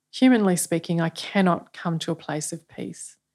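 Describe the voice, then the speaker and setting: Her voice is fairly low as this woman speaks with an Australian accent. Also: very clean recording, silent background. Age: 50s. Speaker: church leader. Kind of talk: podcast interview.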